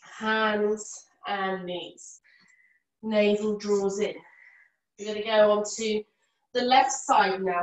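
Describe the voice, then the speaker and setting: A woman's unremarkable speaking voice, fairly high in pitch and fairly slow in pace. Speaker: yoga teacher. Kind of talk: live yoga class instruction. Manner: calm, soft-spoken.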